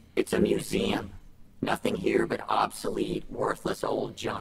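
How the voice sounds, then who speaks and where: A man performs a put-on character voice at an extremely high pitch. It sounds raspy and comes at a fairly slow pace. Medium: video game. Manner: sarcastic, smug.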